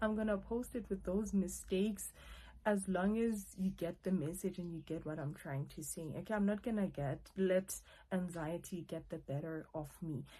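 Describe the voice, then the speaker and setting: A woman's medium-pitched, somewhat breathy voice with a dark, mellow tone and ordinary pitch variation. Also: moderate pace. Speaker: YouTuber, online English tutor. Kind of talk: casual vlog talk to camera. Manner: stuttering, halting.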